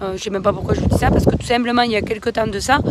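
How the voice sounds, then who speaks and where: The intonation stays fairly even while noticeable background noise can be heard. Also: woman. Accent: southern French. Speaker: organic winegrower. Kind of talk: explanatory farm vlog. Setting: outdoors in a vineyard. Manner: hesitant, many filler sounds.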